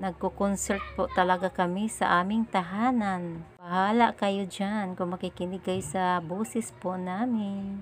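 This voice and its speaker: Her pace is fairly slow, with hardly any pauses. The woman speaks at a medium pitch in a monotone, flat intonation. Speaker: vlogger, mother. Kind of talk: casual vlog narration.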